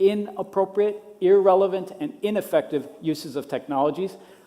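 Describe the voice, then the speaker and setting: A speaker with a Minnesota accent talks at a moderate pace with ordinary pitch variation over noticeable background noise. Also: man. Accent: American, Minnesota. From US Midwest, Minnesota. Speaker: education technology policy specialist. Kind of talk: conference talk.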